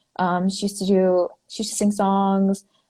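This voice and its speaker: With a dark, mellow tone and a somewhat breathy quality, a woman speaks at medium pitch and a moderate pace on a very clean recording with a silent background. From Navajo Nation, New Mexico (Farmington). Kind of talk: interview. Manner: halting, many fillers.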